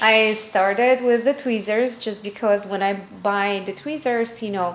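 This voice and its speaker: In a Russian accent, the speaker goes at a fairly slow pace with fairly even intonation. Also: woman, fairly high pitch for a woman. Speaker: lash artist and business founder. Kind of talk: interview. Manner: halting non-native phrasing with fillers.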